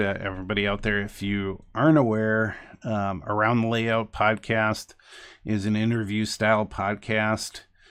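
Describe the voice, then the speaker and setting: Speaking with an American accent, a man talks at a very slow pace. His fairly low voice keeps a fairly even intonation. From New Jersey. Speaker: hobby live streamer. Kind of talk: casual live stream chat. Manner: halting, many fillers and repeats; stutters.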